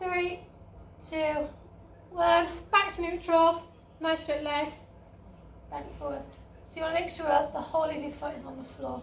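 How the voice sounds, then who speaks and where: With audible room echo, a woman with an extremely high pitch speaks in a monotone, flat intonation at a moderate pace, leaving long, frequent pauses as her loudness swings widely. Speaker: fitness instructor. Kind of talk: workout instruction. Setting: home online class over wi-fi.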